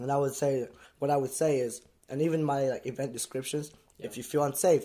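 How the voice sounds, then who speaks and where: Fairly even intonation in a British accent, at a fairly quick pace. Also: man. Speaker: streetwear brand founder. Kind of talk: casual interview. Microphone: new podcast microphones.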